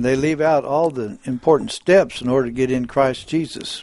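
A man's normal speaking voice at a moderate pace with ordinary pitch variation. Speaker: preacher and school instructor. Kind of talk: radio Bible study discussion. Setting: live radio studio.

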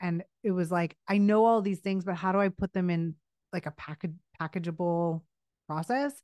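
A woman with an American accent, fairly low in pitch and fairly even in intonation, at a fairly quick pace, in a dry, close sound with no echo over a quiet background. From US West Coast, Los Angeles. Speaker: creative director and brand consultant. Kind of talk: interview.

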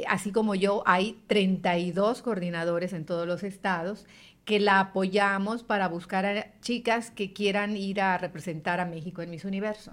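At a fairly slow pace, a woman with a plain, everyday voice speaks at medium pitch with fairly even intonation. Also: very clean recording, silent background. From Yucatán, Mexico. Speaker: radio announcer and journalist. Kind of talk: interview conversation.

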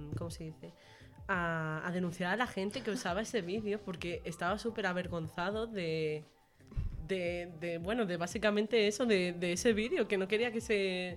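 A woman speaks in a normal speaking voice at a medium pitch. Her pace is moderate, with ordinary pitch variation. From Menorca, Spain. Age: 20s. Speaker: university student podcast host. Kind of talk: casual chat.

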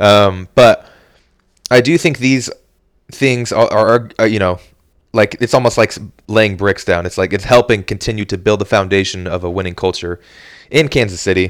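An animated tone at a moderate pace, ordinary pitch variation and long, frequent pauses. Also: man, fairly low pitch for a man. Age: 20s. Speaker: sports podcast host. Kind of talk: casual monologue.

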